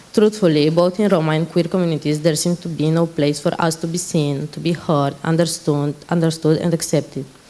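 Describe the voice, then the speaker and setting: Over noticeable background noise, a woman talks at a fairly quick pace with hardly any pauses, her fairly low pitch held in a flat, monotone intonation. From Romania. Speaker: panel moderator, Roma activist. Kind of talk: conference panel moderation. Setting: conference stage. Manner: halting.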